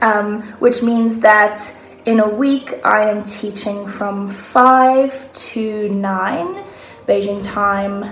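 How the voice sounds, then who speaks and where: Music plays in the background and the room echo is audible as a woman talks very slowly at a fairly high pitch. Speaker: online English teacher. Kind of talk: casual talk to camera, tips. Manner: animated.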